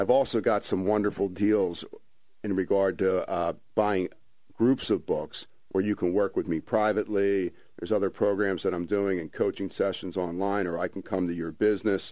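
In a very clean recording with a silent background, a man with a New Jersey accent speaks at a moderate pace in a dark, mellow tone, with fairly low pitch and monotone, flat intonation. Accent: New Jersey American. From South Jersey (Ventnor, New Jersey). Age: 50s. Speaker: author and breathing coach. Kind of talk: radio interview.

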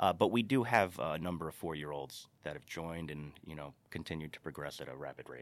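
A man with an American accent talks in a very deep, low pitch with vocal fry and hardly any pauses. His loudness swings widely, while his pitch variation is ordinary. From New York, Carmel. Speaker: Irish dance school co-owner. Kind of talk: casual interview.

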